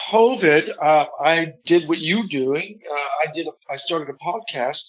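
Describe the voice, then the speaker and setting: A man talks in a normal speaking voice with a fairly high pitch. His pace is fairly slow, and his pitch variation is ordinary. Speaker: ventriloquist. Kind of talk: interview answer. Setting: phone line.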